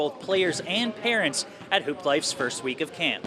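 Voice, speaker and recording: Over noticeable background noise, a man with a high pitch speaks at a fairly quick pace. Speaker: sports reporter. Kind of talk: TV news anchor read.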